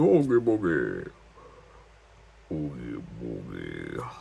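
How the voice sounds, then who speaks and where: A man puts on a character voice and speaks at a very slow pace. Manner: exaggerated, bad impression.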